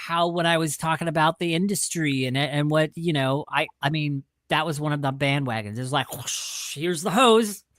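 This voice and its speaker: With an American accent, a man speaks in a plain, everyday voice at a moderate pace with ordinary pitch variation, the sound dry and close with no echo. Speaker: podcast co-host. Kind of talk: casual chat.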